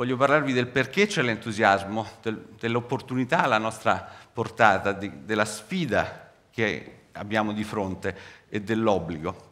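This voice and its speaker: A man speaks in a bright, sharp tone at a fairly low pitch with ordinary pitch variation. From Rome, Italy; Italy. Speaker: cancer researcher; scientist giving public lecture. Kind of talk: public science lecture. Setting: theatre stage with audience. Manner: animated. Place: stage. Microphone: headset.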